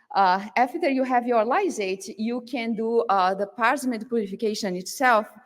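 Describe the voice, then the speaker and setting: A woman's fairly high voice with a Brazilian Portuguese accent, at a fairly slow pace. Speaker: field application scientist. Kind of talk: conference presentation. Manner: halting, many fillers.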